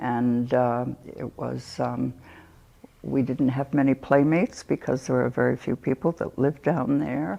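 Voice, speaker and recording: Very deep and low, a woman's voice has vocal fry, a dark, mellow tone and fairly even intonation, moving at a fairly slow pace. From Rhode Island, Westerly. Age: 80s+. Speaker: oral history interviewee. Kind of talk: oral history interview. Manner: halting.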